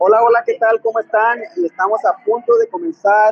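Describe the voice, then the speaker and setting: This man's voice is pitched high. He uses lively intonation. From Mexico, Sinaloa. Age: 30s. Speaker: network marketing presenter. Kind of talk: promotional introduction. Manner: animated.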